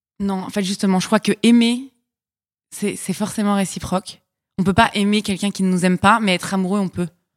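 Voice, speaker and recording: On a very clean recording with a silent background, a woman speaks fairly quickly. Her pitch is medium and her intonation monotone and flat. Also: dry, close sound with no echo. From Paris, France. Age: 20s. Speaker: podcast guest. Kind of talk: casual chat.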